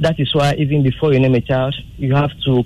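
Over noticeable background noise, a man with a Ghanaian accent talks at a moderate pace in a medium pitch. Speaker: caller. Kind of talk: call-in opinion.

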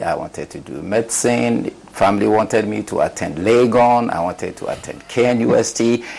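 A man speaks at a moderate pace with ordinary pitch variation amid noticeable background noise. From northern Ghana. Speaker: sports physician. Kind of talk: interview.

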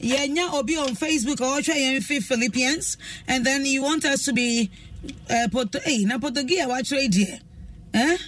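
At a moderate pace, a woman talks in a high pitch with ordinary pitch variation and very even loudness over noticeable background noise. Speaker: radio host. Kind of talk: call-in radio show. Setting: radio studio.

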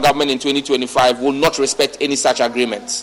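An ordinary speaking voice from a man, fairly high in pitch, at a moderate pace. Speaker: politician. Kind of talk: parliamentary speech / political argument. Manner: combative, rhetorical questioning.

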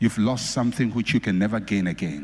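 A somewhat breathy man's voice. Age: 50s. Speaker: pastor. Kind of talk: sermon. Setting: church.

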